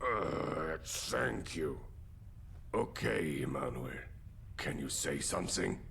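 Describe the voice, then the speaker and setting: A man's put-on character voice at a very slow pace, long, frequent pauses, clear background noise throughout. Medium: game stream. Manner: formal, polite.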